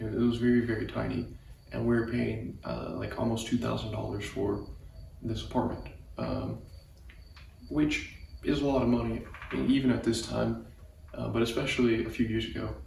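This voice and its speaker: A soft-spoken man talks at a moderate pace with long, frequent pauses, audible room echo and noticeable background noise. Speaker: vlogger. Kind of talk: personal storytelling monologue. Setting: garage at dad's house. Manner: soft-spoken, keeping voice low; halting, many fillers and repetitions.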